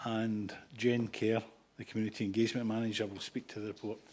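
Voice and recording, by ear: A man talks at a fairly quick pace. His tone is slightly mellow with a slightly husky edge.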